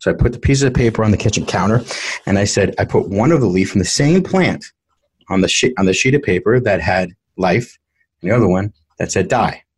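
Speaking at a very fast pace with an American accent, a man uses a somewhat breathy, medium-pitched voice and lively intonation. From US Northeast, New York City (South Bronx). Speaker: entrepreneur. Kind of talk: interview. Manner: halting, many fillers.

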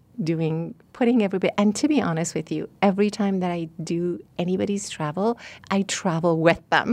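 In a Persian accent, a woman with a fairly low pitch speaks at a moderate pace with ordinary pitch variation against a quiet background. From Iran. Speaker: travel agent. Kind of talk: interview. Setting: studio.

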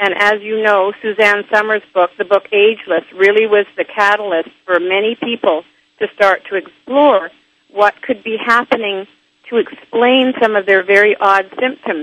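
This is an ordinary speaking voice at a moderate pace. The pitch varies in an ordinary way. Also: woman. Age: 60s. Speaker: author and health expert. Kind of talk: interview.

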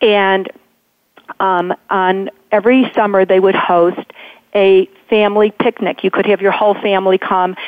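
Her voice is medium-pitched, monotone and flat, with very even loudness. The woman keeps a moderate pace but leaves long, frequent pauses. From Chicago suburbs. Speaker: novelist. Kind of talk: radio interview.

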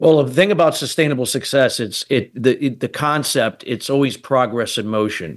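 Here is a man with an American accent and a plain, everyday voice. He speaks at a moderate pace with a medium pitch and ordinary pitch variation. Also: hardly any pauses, quiet background. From United States. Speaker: business strategist and radio host. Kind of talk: casual roundtable chat.

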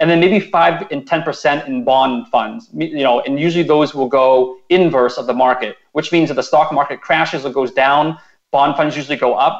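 A man with a plain, everyday voice speaks at a moderate pace with ordinary pitch variation. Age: 30s. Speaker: personal finance blogger. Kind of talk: radio interview.

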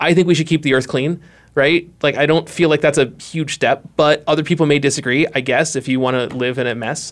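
A man with an American accent speaks in a normal speaking voice at a fairly quick pace. His pitch is fairly high and his intonation fairly even. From Boston. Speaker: graphic designer. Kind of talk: casual chat. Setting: studio.

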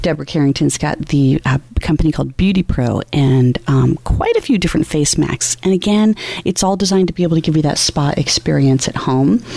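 A woman's very deep, low voice at a very even loudness, with noticeable background noise behind it. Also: ordinary pitch variation, fairly quick pace. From US Southwest. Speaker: radio host. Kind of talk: interview. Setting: trade show floor.

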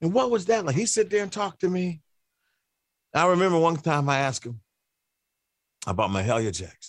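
A man at a high pitch, with very wide pitch swings and a moderate pace. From Cleveland, Ohio. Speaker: radio host and musician. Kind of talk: casual interview chat.

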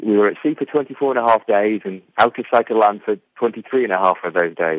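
Here is a man with an English accent. His pitch is fairly low. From England. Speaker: business strategist. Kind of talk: interview.

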